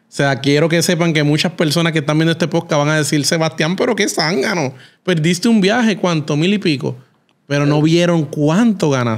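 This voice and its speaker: A man talks at a fairly quick pace. His loudness stays very even, with ordinary pitch variation. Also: fairly high pitch for a man, quiet background. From Puerto Rico. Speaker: podcast host. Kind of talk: interview. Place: studio. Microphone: studio mic.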